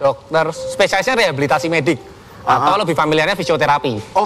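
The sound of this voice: Speaking very fast with lively intonation, a man with a fairly high pitch and a Javanese accent comes through over noticeable background noise.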